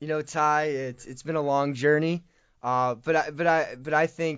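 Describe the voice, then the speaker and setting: An unremarkable speaking voice belongs to a man with an American accent, who talks at a moderate pace with a fairly high pitch and fairly even intonation. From Michigan. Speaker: student leader. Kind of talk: interview. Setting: studio.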